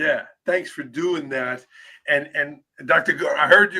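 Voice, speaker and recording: A man projects a raised voice at a high pitch. His tone is bright and sharp, with lively intonation. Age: 40s. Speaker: podcast host. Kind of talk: podcast interview.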